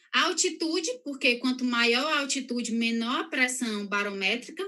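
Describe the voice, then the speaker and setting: A woman's raised, projected voice, high-pitched, with a bright, sharp tone and lively intonation. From northeastern Brazil, São Luís. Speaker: health professional giving a talk. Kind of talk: lecture. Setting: live stream. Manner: fast.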